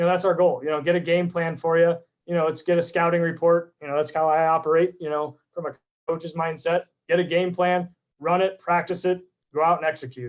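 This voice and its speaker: Loud and high-pitched, a man is speaking. His intonation is monotone and flat. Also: fairly quick pace. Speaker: real estate agent. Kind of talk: live stream presentation. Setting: live video stream. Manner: fast.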